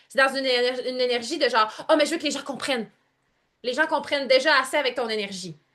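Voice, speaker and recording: Against a quiet background, a woman talks at a very fast pace in a high, bright, sharp, animated voice, with ordinary pitch variation and big swings in loudness. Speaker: online coach. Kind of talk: live group coaching call. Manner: varied pitch, expressive.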